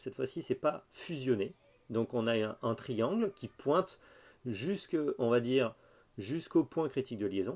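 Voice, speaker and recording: On a very clean recording with a silent background, a man speaks fairly slowly at a medium pitch. His intonation is lively, and he leaves long, frequent pauses. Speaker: university lecturer. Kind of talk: lecture. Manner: hesitant, with fillers.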